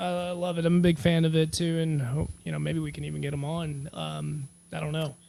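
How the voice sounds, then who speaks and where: A man at a moderate pace with hardly any pauses. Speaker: sports podcast co-host. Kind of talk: casual chat. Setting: video podcast recording.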